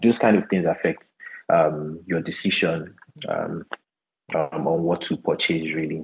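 This man speaks with a Nigerian accent. His pitch is very deep and low. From southern Nigeria (Port Harcourt, Delta State). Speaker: equity research analyst. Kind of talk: interview about investing basics.

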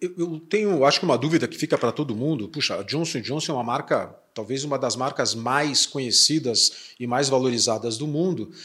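With hardly any pauses, a man talks at a fairly quick pace in a bright, sharp tone, in a very clean recording with a silent background. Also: fairly high pitch for a man, ordinary pitch variation. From Curitiba, southern Brazil. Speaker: podcast host, company president. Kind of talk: interview podcast.

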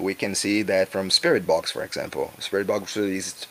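A man speaks with a Brazilian accent. His pitch is fairly low. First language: Portuguese. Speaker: musician. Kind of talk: interview. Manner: halting.

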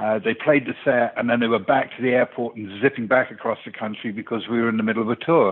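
His is a normal speaking voice, pitched medium for a man. The intonation holds fairly even. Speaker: music industry veteran. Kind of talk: casual interview. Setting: phone call.

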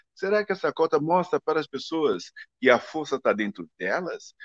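Dry and close with no echo, a man's fairly high voice moves through very wide pitch swings. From Brazil. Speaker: ballet dancer and advertising figure. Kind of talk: interview. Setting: live stream. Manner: halting.

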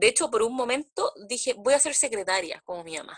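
A woman speaks with a Chilean accent in a dry, close sound with no echo. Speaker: podcast co-host. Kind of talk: casual chat.

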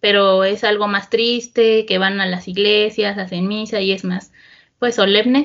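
A woman has a normal speaking voice with a fairly high pitch. She talks at a fairly slow pace. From central Mexico (Estado de México). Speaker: interviewee. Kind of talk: casual chat.

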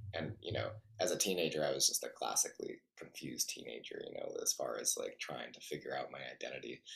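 Man with a Western US accent at a very fast pace, big swings in loudness. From Utah, Salt Lake City. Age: 40s. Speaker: ultra endurance athlete. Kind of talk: casual interview chat.

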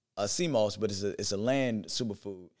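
A man with a plain, everyday voice, ordinary pitch variation and a moderate pace, on a very clean recording with a silent background. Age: 40s. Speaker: vegan wellness educator and business owner. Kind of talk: casual interview.

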